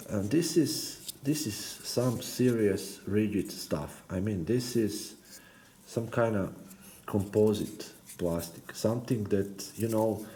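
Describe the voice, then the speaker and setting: Speaking at a very slow pace, a man has a fairly low pitch with ordinary variation. His tone is dark, mellow and somewhat breathy, and the room echo is audible. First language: not English. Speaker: RC car hobbyist YouTuber. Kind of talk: build tutorial. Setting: workbench. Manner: halting, many hesitations and repeated words.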